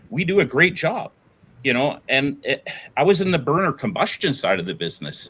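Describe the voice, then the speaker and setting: Talking at a moderate pace with a Canadian accent, a man has vocal fry and an animated tone. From Alberta, Canada (moved from Ontario at 11). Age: 60s. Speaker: business owner, oil and gas veteran. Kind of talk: casual debate-style interview. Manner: animated, repetitive with restarts.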